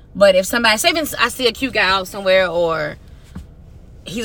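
Noticeable background noise runs under the clip. A woman speaks in an animated tone. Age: 30s. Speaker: podcast co-host. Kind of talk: casual chat.

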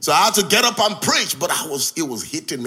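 With vocal fry and a bright, sharp tone, a man's voice makes very wide pitch swings. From Nigeria. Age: 60s. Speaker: visiting pastor. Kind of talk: sermon. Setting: church. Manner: animated.

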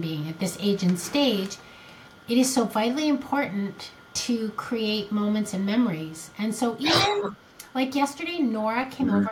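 A woman's fairly high voice with lively intonation at a moderate pace, over noticeable background noise. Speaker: podcast co-host. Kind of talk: casual chat.

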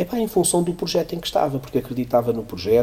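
Lively in intonation and fairly brisk, a man speaks in a plain, everyday voice. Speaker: economics professor and CFO. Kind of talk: interview.

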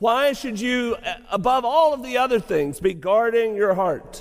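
A man with a Southern US accent talks at a fairly slow pace. His pitch is extremely high, and his intonation is lively. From Arkansas (Lake City). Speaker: pastor. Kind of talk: sermon; Q&A session. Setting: college chapel with audience.

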